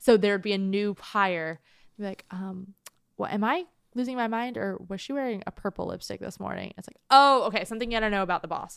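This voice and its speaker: At a fairly quick pace, a woman talks in an unremarkable speaking voice of medium pitch, on a very clean recording with a silent background. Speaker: podcast co-host. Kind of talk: casual banter between friends. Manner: joking, sarcastic, deadpan.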